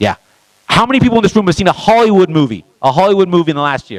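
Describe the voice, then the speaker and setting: A man at a very fast pace, very wide pitch swings, and a dry, close sound with no echo. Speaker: conference speaker. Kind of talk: speech to a live audience.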